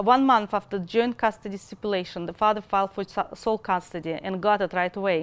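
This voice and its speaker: This woman's speech has ordinary pitch variation. She talks with a Russian accent. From Russia, Moscow. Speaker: mother in custody dispute. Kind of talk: testimony.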